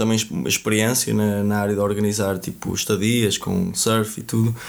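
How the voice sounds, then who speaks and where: A man with a fairly low-pitched voice talks at a fairly slow pace. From northern Portugal. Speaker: surf instructor. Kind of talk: podcast interview. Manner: halting.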